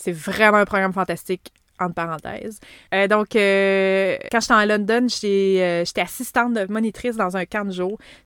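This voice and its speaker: In a very clean, dry, close recording with a silent background and no echo, a woman speaks at a fairly slow pace in a medium pitch with fairly even intonation. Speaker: podcast host. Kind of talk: solo podcast monologue.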